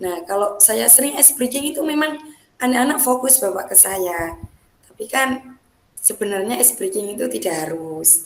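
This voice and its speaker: At a moderate pace, a woman speaks with fairly high pitch and very wide pitch swings, amid noticeable background noise and audible room echo. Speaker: teacher. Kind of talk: coaching role-play practice session.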